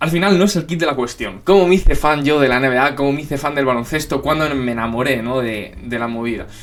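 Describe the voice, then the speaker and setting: A man with a Spanish accent, medium pitch, ordinary pitch variation and a fairly quick pace. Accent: Peninsular Spanish. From Spain. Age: 20s. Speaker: YouTuber, NBA commentator. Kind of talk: casual Q&A chat to camera. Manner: casual, lots of fillers.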